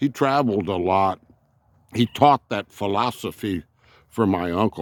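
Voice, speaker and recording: A man with a Texan accent talks at a moderate pace with a fairly low pitch and lively intonation, on a very clean recording with a silent background and a dry, close sound with no echo. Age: 70s. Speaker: RV vlogger. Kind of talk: casual vlog monologue. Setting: outdoors. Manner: halting.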